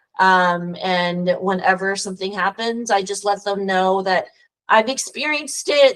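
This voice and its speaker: A woman's medium-pitched voice with a Texas accent, fairly even intonation and a fairly slow pace. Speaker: immigration lawyer. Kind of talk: casual interview conversation.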